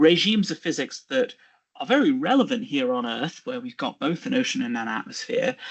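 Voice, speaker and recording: In a British accent, a man talks with very wide swings in pitch. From England, Birmingham. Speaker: geophysicist. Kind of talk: lecture.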